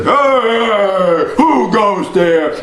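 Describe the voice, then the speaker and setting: A man in a high-pitched, put-on character voice, with clear background noise. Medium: read story. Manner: menacing.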